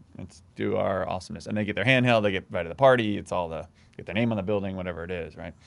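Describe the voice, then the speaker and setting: Very fast speech from a man at a fairly low pitch, with ordinary pitch variation. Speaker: podcast co-host. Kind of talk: casual banter. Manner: joking, animated.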